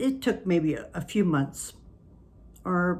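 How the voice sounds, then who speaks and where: Her voice is fairly low for a woman and somewhat breathy. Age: 60s. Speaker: stroke survivor. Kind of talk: casual talk to camera.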